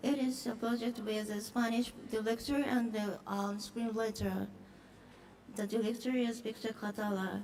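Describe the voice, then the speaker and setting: Amid noticeable background noise and audible room echo, a woman with a Japanese accent speaks at a moderate pace in a fairly high, monotone, flat voice. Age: middle-aged. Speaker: film producer. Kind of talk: conference presentation. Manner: halting, many fillers.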